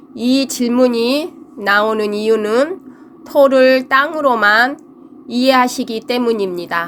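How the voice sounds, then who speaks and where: A woman at a very slow pace and high pitch, amid noticeable background noise. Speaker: fortune teller. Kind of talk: lecture. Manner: halting.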